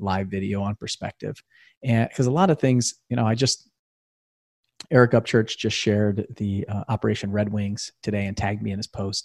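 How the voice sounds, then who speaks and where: A man talks in an ordinary speaking voice at medium pitch, with ordinary pitch variation and a moderate pace, on a very clean recording with a silent background and a dry, close sound with no echo. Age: 40s. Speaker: real estate investor and podcast host. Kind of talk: motivational talk on a livestream. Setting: Facebook live video.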